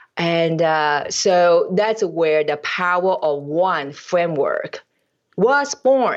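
Using lively intonation and very even loudness, a woman with a non-native accent speaks at a very slow pace. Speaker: business owner, mentoring client. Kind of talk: casual interview.

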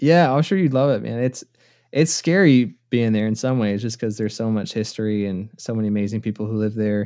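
Speaking at a fairly quick pace with an American accent, a man has a dark, mellow tone, medium pitch and ordinary pitch variation, recorded very cleanly against a silent background. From US South, South Carolina. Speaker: mandolinist and online music educator. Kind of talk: casual interview chat.

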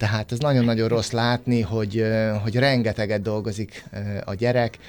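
A man talks at a medium pitch, keeping a moderate pace and fairly even intonation. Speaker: father of a pianist. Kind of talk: radio interview. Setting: studio.

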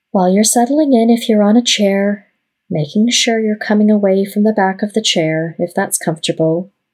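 In a normal speaking voice, a woman with a medium pitch talks with ordinary pitch variation and very even loudness. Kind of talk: guided meditation. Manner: slow, calm and soothing, with long pauses between short phrases; gentle, soft-spoken and unhurried.

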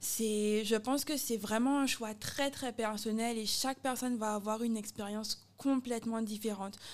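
A woman speaks at a moderate pace in a fairly high pitch. Her intonation stays flat and monotone. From Guadeloupe. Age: 30s. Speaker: athlete and expatriate. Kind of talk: casual interview chat.

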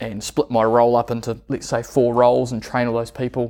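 Speaking at a moderate pace with a New Zealand accent, a man of medium pitch delivers monotone, flat intonation in a very clean recording with a silent background. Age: 30s. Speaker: business owner. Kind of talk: interview.

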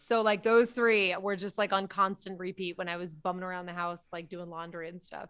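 A woman with an American accent talks in a normal speaking voice at a fairly quick pace, with hardly any pauses. Her intonation is fairly even but her loudness swings widely, in a very clean recording with a silent background. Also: medium pitch for a woman. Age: 30s. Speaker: comedian. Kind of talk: casual chat.

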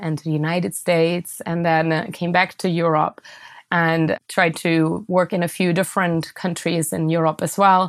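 A woman speaks at a moderate pace with a German accent, her pitch fairly low and her intonation flat and monotone. The recording is very clean, with a silent background. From Germany (southwest, near Stuttgart). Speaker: entrepreneur and author. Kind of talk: interview.

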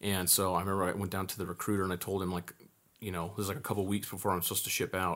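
The speech moves at a very fast pace with monotone, flat intonation, on a very clean recording with a silent background. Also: man. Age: 30s. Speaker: military veteran. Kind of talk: casual chat.

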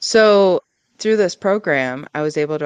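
A woman talks with an American accent and ordinary pitch variation. The sound is dry and close, with no echo. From Michigan, US (Ann Arbor). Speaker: veterinarian and practice owner. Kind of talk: interview.

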